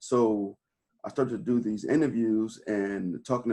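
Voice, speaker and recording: A man with a plain, everyday voice speaks at a fairly slow pace, his pitch medium and his intonation fairly even. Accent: American. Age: 40s. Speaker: real estate investor and interviewer. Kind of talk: casual interview conversation.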